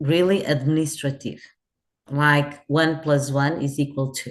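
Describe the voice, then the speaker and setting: A woman's very deep, low voice in a Portuguese accent, very slow, against a quiet background. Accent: Portuguese accent when speaking English. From Portugal. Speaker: hotel customer service executive. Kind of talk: interview. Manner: halting, with fillers and restarts.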